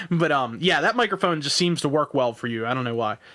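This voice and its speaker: Loud and fairly high-pitched, a man's bright, sharp voice comes through a very clean recording with a silent background. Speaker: podcast host. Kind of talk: casual chat.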